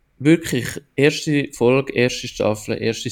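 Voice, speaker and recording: A man speaks with fairly even intonation. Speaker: podcast host. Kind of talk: casual chat.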